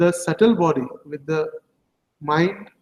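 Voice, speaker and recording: A man with an Indian accent and a high pitch speaks at a very slow pace. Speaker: religious teacher. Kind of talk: scripture class.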